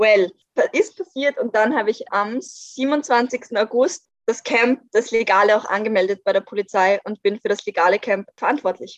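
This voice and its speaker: A woman's ordinary speaking voice, fairly high-pitched, at a moderate pace with hardly any pauses and ordinary pitch variation, in a dry, close sound with no echo. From Austria, Vienna. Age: 20s. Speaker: climate activist spokesperson. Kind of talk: podcast interview.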